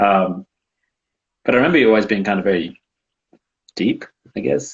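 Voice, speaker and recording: A man talks at a fairly quick pace with a fairly low pitch and lively intonation. His loudness stays very even throughout. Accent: Australian. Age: 20s. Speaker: university student and childcare worker. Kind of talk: casual interview chat.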